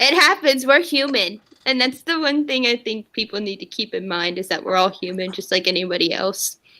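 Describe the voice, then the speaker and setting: Loud and at a moderate pace with hardly any pauses, a woman speaks in a fairly high pitch and a bright, sharp tone, her pitch swinging very wide. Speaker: livestream host. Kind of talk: casual chat. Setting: livestream.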